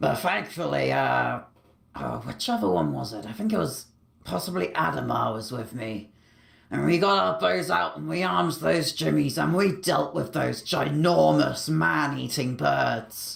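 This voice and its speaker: A man's put-on character voice, raspy and fairly low in pitch, at a moderate pace. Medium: machinima. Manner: rambling, chatty.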